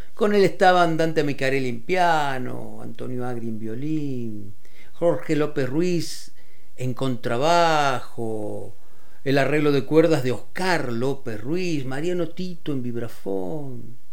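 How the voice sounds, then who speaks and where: Noticeable background noise accompanies a man with a Rioplatense accent who speaks very slowly, his fairly high voice lively in intonation. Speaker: radio host. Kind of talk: radio music show presentation. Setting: radio studio.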